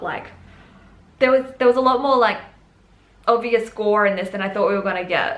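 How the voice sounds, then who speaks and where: Amid audible room echo and noticeable background noise, a woman speaks with ordinary pitch variation. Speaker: book and TV reviewer. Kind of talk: casual video review. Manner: fast; rambling, casual.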